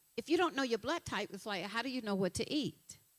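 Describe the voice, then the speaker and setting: With a Southern US accent, a woman speaks in an animated tone with lively intonation at a fairly high pitch. The sound is dry and close with no echo. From Alabama. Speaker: nutritionist and health coach. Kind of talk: motivational talk. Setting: stage with audience.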